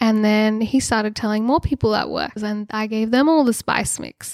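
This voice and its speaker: A woman speaks with an Australian accent. Her pitch is fairly high, and her intonation is fairly even. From Australia (Sydney). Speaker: social media creator and spice seller. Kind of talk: casual interview chat. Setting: sitting on floor in a spare bedroom.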